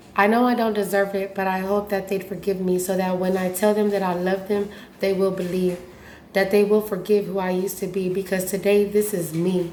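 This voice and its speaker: A woman at medium pitch speaks at a fairly quick pace with monotone, flat intonation, and audible room echo surrounds her voice. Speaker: recovering addict and former prisoner. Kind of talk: casual vlog talk; reading own poem aloud.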